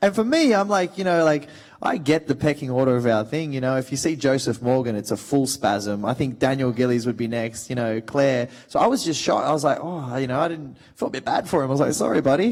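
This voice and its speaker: Lively intonation and an animated tone from a man with an Australian accent, medium pitch, very fast pace, over noticeable background noise. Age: 30s. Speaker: actor. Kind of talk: panel talk. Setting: stage with audience.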